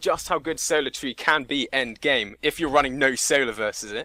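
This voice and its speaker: Loud and animated, a man talks at a fairly quick pace in a bright, sharp tone, recorded very cleanly against a silent background with a dry, close sound and no echo. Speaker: gamer. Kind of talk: podcast discussion.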